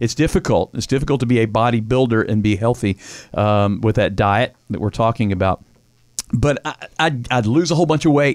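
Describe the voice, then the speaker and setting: The delivery is fairly quick. It is a normal speaking voice, with ordinary pitch variation. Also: man, medium pitch for a man. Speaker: podcast host. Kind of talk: casual chat.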